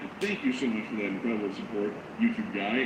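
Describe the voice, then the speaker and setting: A man talks very fast as audible room echo mixes with clearly audible background noise. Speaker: live news streamer. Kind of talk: live news commentary. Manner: fast, nonstop talking.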